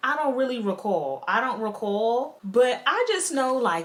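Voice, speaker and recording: With noticeable background noise behind her, a woman speaks with very wide pitch swings. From Queens, New York City. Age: 20s. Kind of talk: casual storytime talk to camera.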